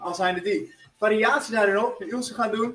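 At a fairly slow pace, a man speaks with a high pitch and ordinary pitch variation over light background noise. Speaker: fitness instructor. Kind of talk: workout tutorial instructions. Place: gym. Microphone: camera far.

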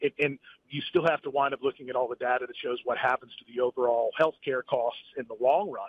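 A man with a normal speaking voice, fairly high in pitch, at a fairly quick pace and with fairly even intonation. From West Virginia (Huntington). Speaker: gubernatorial candidate, businessman. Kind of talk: phone interview. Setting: phone call from a car.

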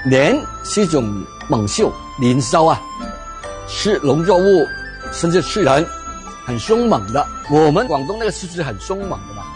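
Over clear music in the background, a man talks at a moderate pace in a fairly high voice with very wide pitch swings. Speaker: university professor, expert in Cantonese culture. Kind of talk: interview answer. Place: cafe.

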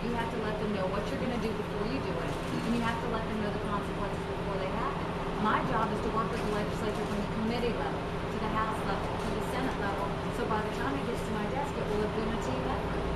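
Over loud background noise, a woman speaks at a very fast pace. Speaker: candidate. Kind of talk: press conference answer.

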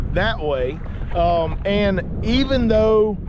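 A man with a high-pitched voice speaks in a dry recording with no echo, though noticeable background noise can be heard. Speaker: fishing vlogger. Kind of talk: casual vlog chat. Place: boat. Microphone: phone near.

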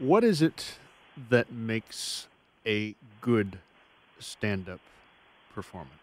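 A man speaks at a very slow pace with lively intonation, his voice dry with no echo. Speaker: radio host. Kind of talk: radio interview. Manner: formal. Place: studio.

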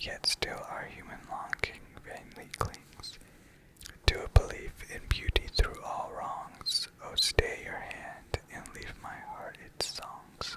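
The whispering unfolds at a very slow pace. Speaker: asmr creator. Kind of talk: ASMR poetry reading. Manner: whispered. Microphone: studio mic.

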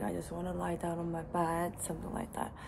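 Fairly low female voice over noticeable background noise. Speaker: vlogger. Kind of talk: casual vlog chat. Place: home room. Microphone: phone near.

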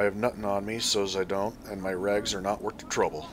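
Putting on a shaky character voice, a man talks at a fairly quick pace and fairly low pitch over clear background noise.

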